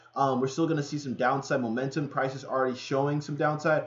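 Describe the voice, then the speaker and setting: A man with a fairly high pitch keeps his intonation fairly even while noticeable background noise plays behind him. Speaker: forex trading analyst. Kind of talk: livestream market analysis. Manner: fast; casual, filler-heavy.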